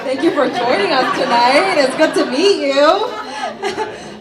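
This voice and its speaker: A woman's raised, projected voice, fairly slow, with very wide pitch swings, audible room echo and noticeable background noise. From South Korea. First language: Korean. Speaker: politician. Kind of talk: interview; speech.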